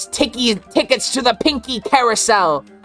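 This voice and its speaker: A put-on, female-sounding character voice, high in pitch, at a moderate pace with faint music in the background. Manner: evil.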